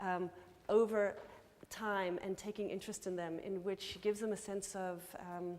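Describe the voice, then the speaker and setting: In an American accent, a woman speaks at a medium pitch with a flat, monotone delivery. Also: moderate pace. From California, US. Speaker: anthropologist, conference speaker. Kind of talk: conference Q&A answer. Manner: halting, many repetitions.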